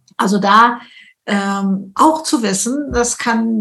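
Audible room echo surrounds the voice of this woman. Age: 70s. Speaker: speaker and author. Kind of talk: interview. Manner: energetic.

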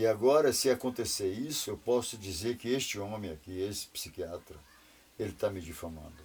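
A man speaks with a fairly low pitch and lively intonation. His voice is somewhat breathy. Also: moderate pace. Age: 60s. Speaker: retired businessman. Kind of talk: interview. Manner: animated.

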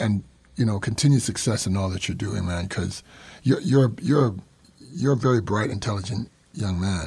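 A fairly low-pitched man speaks at a moderate pace with lively intonation and a somewhat breathy voice. He leaves long, frequent pauses. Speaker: podcast host. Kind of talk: casual interview.

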